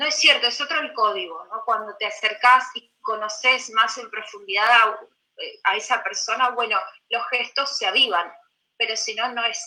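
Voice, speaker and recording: At a moderate pace, a woman speaks at a fairly high pitch with ordinary pitch variation and big swings in loudness. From Belarus (Gomel), then Buenos Aires from age 10. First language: Russian (speaking Spanish). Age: 30s. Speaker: poet. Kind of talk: interview.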